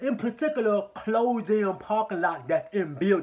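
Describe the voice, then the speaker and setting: An animated man with an American accent, high-pitched, with lively intonation. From Chicago. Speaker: film reviewer. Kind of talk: casual review monologue.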